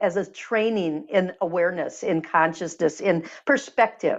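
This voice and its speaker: An unremarkable speaking voice from a woman, lively intonation at a moderate pace over a quiet background. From US Midwest, Michigan. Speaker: energy healer and author. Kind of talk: interview.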